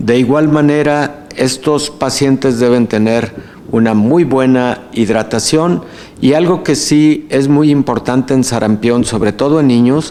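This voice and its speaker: Loudness stays very even at a fairly slow pace. Noticeable background noise runs underneath. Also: man, medium pitch for a man, ordinary pitch variation. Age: 60s. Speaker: physician and health official. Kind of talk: lecture Q&A. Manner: filled pauses.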